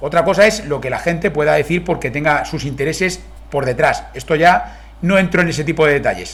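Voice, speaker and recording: Over noticeable background noise, a man with a Spanish accent talks at a fairly quick pace. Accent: Spain Spanish. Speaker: car reviewer. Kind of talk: video review. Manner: fast.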